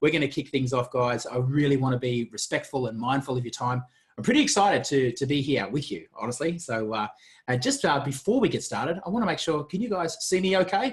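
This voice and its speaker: A man with an Australian accent talks at a very fast pace, his fairly high pitch carrying lively intonation and a somewhat breathy sound. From Australia, Gold Coast. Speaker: marketing coach. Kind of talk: webinar presentation. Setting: video webinar. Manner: animated.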